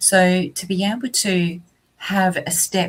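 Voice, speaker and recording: A woman speaks with an Australian accent. Her voice is somewhat breathy. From southeast Australia. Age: 50s. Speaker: vocational college teacher. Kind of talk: interview.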